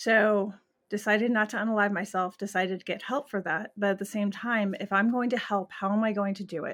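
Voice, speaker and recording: A woman talks at a fairly quick pace and medium pitch with fairly even intonation in a plain, everyday voice, on a very clean recording with a silent background. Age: 40s. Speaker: animal communicator and psychic medium. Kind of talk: casual interview chat.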